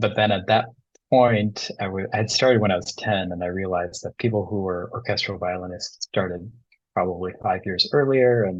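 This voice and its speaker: A man speaks at a moderate pace in a Midwestern accent. His pitch sits fairly low, and his intonation stays fairly even. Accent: American Midwest. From US Midwest, suburban Detroit, Michigan. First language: Bengali. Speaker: tango DJ and teacher, environmental psychologist. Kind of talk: interview.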